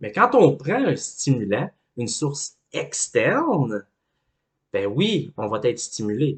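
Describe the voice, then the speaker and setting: A man's voice is somewhat breathy. The background is quiet. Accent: Quebec. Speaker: life coach. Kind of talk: educational talk.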